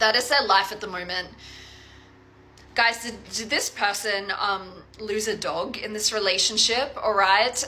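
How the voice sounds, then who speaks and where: A woman talks at a moderate pace in an animated tone, with ordinary pitch variation. Noticeable background noise is present. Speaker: tarot reader. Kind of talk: tarot reading to viewers. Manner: casual, animated; halting, repeats words.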